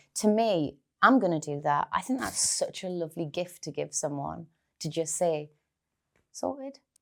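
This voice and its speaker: With a Geordie accent, a woman talks at a moderate pace. Her fairly low voice moves with lively intonation. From North East England. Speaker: actress. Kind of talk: podcast interview answer. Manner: candid, reflective.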